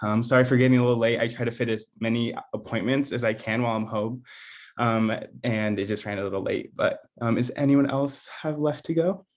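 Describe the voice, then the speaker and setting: A man of medium pitch with an American accent talks at a fairly quick pace in an unremarkable speaking voice with ordinary pitch variation. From Oregon, US. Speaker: engineering student, youth committee member. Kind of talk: meeting introduction.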